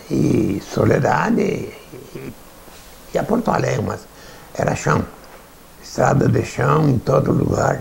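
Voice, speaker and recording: The speaker talks at a very slow pace, with long, frequent pauses. Noticeable background noise runs underneath. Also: man. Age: 80s+. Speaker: former mayor. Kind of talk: documentary interview.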